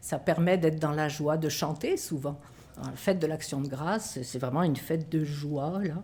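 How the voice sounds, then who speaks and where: A woman speaks in a very deep, low pitch with a dark, mellow, somewhat breathy tone and fairly even intonation. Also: moderate pace. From France. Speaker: religious educator. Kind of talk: interview on prayer and spirituality.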